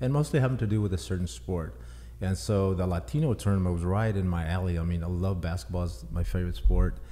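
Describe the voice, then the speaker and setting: A man with an American accent speaks at a fairly quick pace in a very deep, low pitch. His tone is dark and mellow, and somewhat breathy. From Texas. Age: 60s. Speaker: author. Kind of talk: podcast interview.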